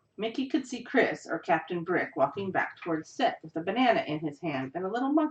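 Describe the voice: The speaker reads aloud. The delivery is plain.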